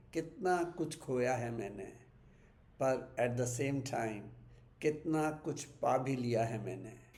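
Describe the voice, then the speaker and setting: A somewhat breathy man is heard with audible room echo. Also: medium pitch for a man, ordinary pitch variation. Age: 70s. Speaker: vlogger sharing memories. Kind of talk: personal reminiscence monologue. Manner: reflective, with hesitations.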